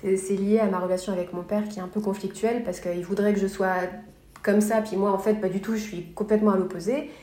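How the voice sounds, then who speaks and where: Amid audible room echo, a woman with a medium-pitched voice speaks at a fairly quick pace with fairly even intonation. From France, Paris area. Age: 30s. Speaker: blogger and illustrator. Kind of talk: casual interview chat. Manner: talkative.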